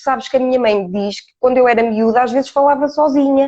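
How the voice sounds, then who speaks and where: Her voice is high in pitch yet dark and mellow in tone, and this woman keeps her intonation fairly even. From Portugal, Ourém. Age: 40s. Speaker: coach. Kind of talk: interview. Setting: live stream. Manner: hesitant fillers.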